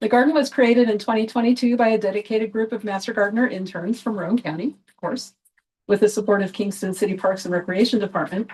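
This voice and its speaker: A woman's fairly high, somewhat breathy voice at a very fast pace, with fairly even intonation. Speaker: volunteer master gardener. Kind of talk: public talk reading a prepared speech. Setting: outdoors in a garden with a small audience. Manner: halting.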